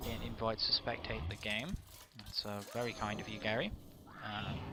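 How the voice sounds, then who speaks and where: Speaking at a moderate pace in a British accent, a man uses a fairly low pitch and fairly even intonation. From UK. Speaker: esports caster. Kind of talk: live commentary. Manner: halting.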